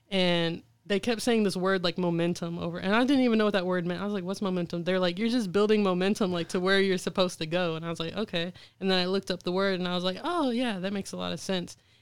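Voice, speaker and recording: A woman with a medium-pitched voice speaks at a very fast pace. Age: 20s. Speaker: artist. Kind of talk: interview.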